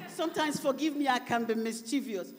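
A woman speaks at a fairly slow pace. Light background noise is audible. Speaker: preacher. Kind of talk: sermon. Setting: church conference with interpreter. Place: church. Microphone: handheld.

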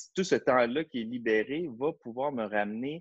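A man speaks with a Quebec accent. The background is quiet. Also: dry sound with no echo. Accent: Québécois French. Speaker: educational consultant, former ethics teacher; teacher trainer presenting. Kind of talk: online training webinar. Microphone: video call.

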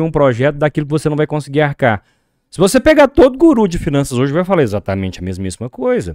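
Over a quiet background, a man talks at a very fast pace in a dry sound with no echo. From Brazil. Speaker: accountant and reading project organizer; podcast guest. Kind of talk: casual interview. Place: studio. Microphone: studio mic.

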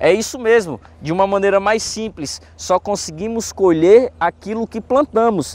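A man's high-pitched voice with ordinary pitch variation and a dry sound with no echo. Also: fairly slow pace. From Brazil, Fortaleza, Ceará; Ceará, Brazil. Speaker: pastor. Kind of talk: Bible study lesson. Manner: animated. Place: garden. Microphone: lapel.

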